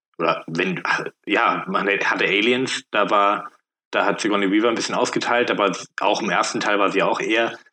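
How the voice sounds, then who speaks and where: This man's voice sits fairly low in pitch. His tone is bright and sharp. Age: 30s. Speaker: podcast guest. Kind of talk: casual chat.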